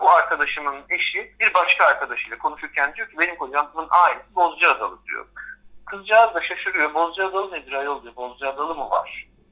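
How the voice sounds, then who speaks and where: A man speaks fairly quickly, his loudness swinging widely, while noticeable background noise runs behind him. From Istanbul, Turkey. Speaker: art history lecturer. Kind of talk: radio interview. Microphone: telephone line.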